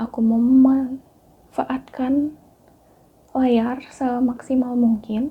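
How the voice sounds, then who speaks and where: A woman speaks in a high voice with monotone, flat intonation. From Bali, Indonesia (Denpasar). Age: 20s. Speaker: educational YouTuber, astronomy teacher. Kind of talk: casual personal vlog.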